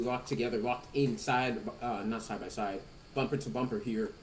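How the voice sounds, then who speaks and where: Audible room echo surrounds a man speaking at a fairly quick pace, medium in pitch with ordinary pitch variation. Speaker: sim racing commentator. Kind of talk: live commentary. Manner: loud.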